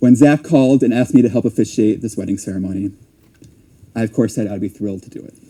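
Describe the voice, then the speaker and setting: Talking at a very fast pace, a man with a medium pitch shows ordinary pitch variation and big swings in loudness. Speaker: wedding officiant. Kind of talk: wedding speech. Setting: wedding ceremony.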